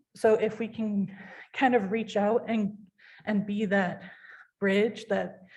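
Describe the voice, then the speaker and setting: A woman's medium-pitched, somewhat breathy voice at a very slow pace, monotone and flat, with long, frequent pauses. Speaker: city commissioner. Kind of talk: public meeting discussion. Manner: hesitant, many fillers; shaky when passionate.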